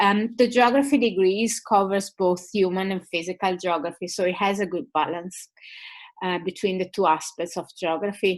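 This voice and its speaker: A woman with an Italian accent speaks at a medium pitch and moderate pace, her intonation fairly even. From Italy. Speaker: university lecturer. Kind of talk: webinar presentation. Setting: online webinar. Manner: hesitant, many fillers.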